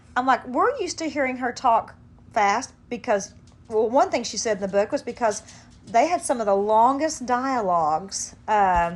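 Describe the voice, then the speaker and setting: This woman has a plain, everyday voice, pitched fairly high. She talks at a moderate pace with lively intonation. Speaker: podcast host. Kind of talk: casual chat.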